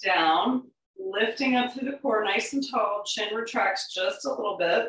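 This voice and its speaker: Ordinary pitch variation marks a woman's speech. The recording has audible room echo. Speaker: yoga instructor. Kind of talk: guided exercise instruction. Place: home room. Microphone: camera far.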